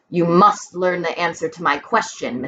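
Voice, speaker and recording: A growling put-on character voice from a woman, fairly low in pitch, with ordinary pitch variation and a moderate pace. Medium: read story. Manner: formal, measured.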